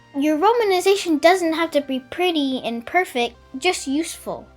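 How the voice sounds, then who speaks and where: Music plays in the background as a woman with a high pitch and lively intonation speaks at a fairly slow pace. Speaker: conlang tutorial maker. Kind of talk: tutorial narration.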